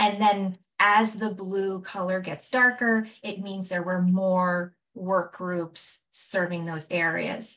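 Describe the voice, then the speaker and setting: A woman with a medium pitch uses a normal speaking voice, her pitch varying in an ordinary way. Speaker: evaluation researcher presenting findings. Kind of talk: presentation of findings in a video meeting.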